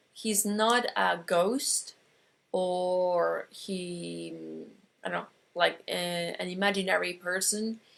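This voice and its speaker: Very slow speech from a woman with an Argentine accent. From Argentina. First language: Spanish. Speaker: metaphysics teacher. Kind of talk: online course lecture. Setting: online broadcast. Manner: halting, many fillers.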